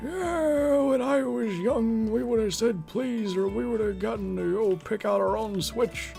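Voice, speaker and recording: A woman uses a put-on character voice at a fairly slow pace. Clear music plays in the background. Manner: scolding, reminiscing.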